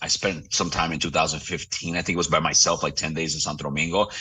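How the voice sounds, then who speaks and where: In a New York accent, a man with a very deep, low pitch talks at a very fast pace. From New York City. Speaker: real estate broker. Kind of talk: interview. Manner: animated.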